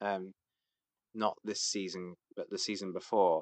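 A man with a British accent, fairly low pitch and a fairly slow pace, in a dry, close sound with no echo over a quiet background. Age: 30s. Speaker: crossdresser. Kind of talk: casual chat.

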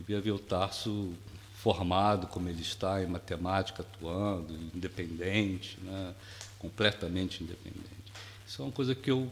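A man's very deep, low, somewhat breathy voice at a moderate pace, with fairly even intonation. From Brazil, Rio de Janeiro. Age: 60s. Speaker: retired educator. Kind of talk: casual interview chat. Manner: calm, soft-spoken.

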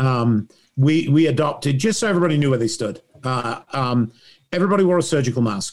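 A man with an English accent, fairly high in pitch, lively intonation and a fairly quick pace. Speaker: lighting designer. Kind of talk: casual group chat. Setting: video call.

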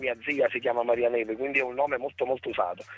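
A man talks over music in the background. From Torre Annunziata, province of Naples. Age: 30s. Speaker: rapper. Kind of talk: radio interview. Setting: phone call.

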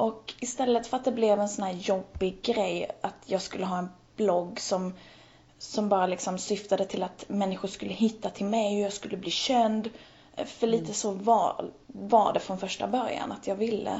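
A woman talks with an ordinary speaking voice at a medium pitch. Her pace is moderate and her intonation fairly even. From Helsingborg, southern Sweden. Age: 20s. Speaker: blogger. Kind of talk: interview conversation. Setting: Skype call.

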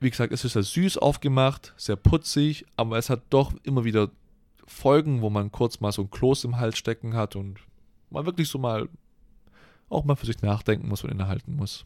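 An unremarkable speaking voice from a man at medium pitch, moderate pace and ordinary pitch variation, dry and close with no echo, on a very clean recording with a silent background. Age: 20s. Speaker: podcast co-host, university student. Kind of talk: casual chat.

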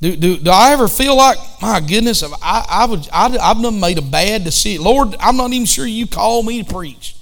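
With a Southern US accent, a man speaks at a high pitch with lively intonation and hardly any pauses. Audible room echo surrounds his voice. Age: 50s. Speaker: pastor. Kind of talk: bible study.

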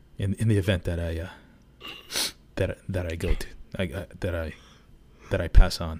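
Somewhat breathy and very deep in pitch, a man speaks in a flat monotone with long, frequent pauses and big swings in loudness, in a very clean recording with a silent background. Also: moderate pace. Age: 30s. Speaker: podcast co-host. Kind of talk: casual chat.

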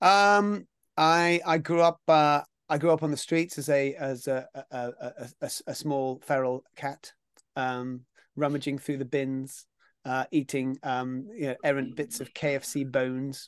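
Speaking with a southern English accent, a man talks at a fairly slow pace with a fairly high pitch and ordinary pitch variation. The sound is dry and close with no echo, over a quiet background. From southern England. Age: 50s. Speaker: actor and TV presenter. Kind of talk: casual interview. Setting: video call.

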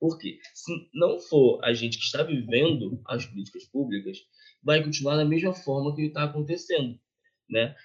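A man with a fairly high pitch sounds somewhat breathy and uses lively intonation. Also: moderate pace. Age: 20s. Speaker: youth project coordinator. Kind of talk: casual interview.

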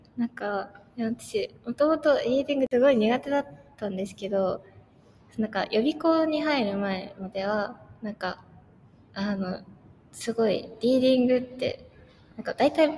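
In a plain, everyday voice, a woman speaks at a moderate pace with fairly high pitch, lively intonation and big swings in loudness. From Japan. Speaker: university student. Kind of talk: casual interview.

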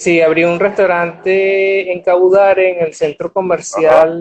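A man's high, monotone voice with flat intonation and big swings in loudness. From Venezuela, Barquisimeto (Lara state). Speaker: chef and restaurant owner. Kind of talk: interview.

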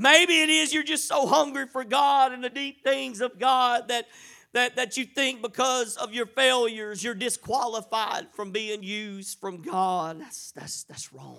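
In a raised, projected voice, a man with an extremely high pitch and a bright, sharp tone speaks animatedly at a fairly slow pace. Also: ordinary pitch variation, big swings in loudness, very clean recording, silent background. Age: 40s. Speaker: preacher. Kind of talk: sermon. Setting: church.

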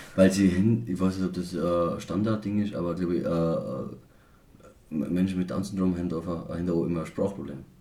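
A man with a very deep, low pitch and a dark, mellow tone speaks at a moderate pace with ordinary pitch variation, and audible room echo surrounds his voice. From Austria, Tyrol (Reutte district). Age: 20s. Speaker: podcast host. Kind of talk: casual chat.

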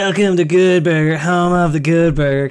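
Man in a put-on character voice, high-pitched, at a moderate pace

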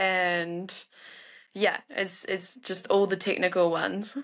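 In a New Zealand accent, a woman speaks with a bright, sharp tone and monotone, flat intonation. The background is quiet. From New Zealand, North Island. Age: 20s. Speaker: professional alpine skier. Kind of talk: casual interview.

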